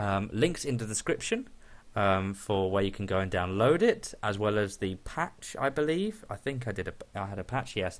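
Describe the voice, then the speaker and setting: Someone with a British accent speaks at a moderate pace with lively intonation in a very clean recording with a silent background. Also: man. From Great Britain. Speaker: gaming YouTuber. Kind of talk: gameplay commentary. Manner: hesitant, many fillers.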